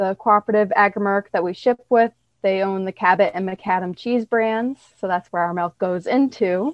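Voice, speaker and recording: A woman with an American accent, a normal speaking voice, a moderate pace and ordinary pitch variation. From northern New York. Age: 20s. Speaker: dairy farmer and social media agriculture advocate. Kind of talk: casual interview.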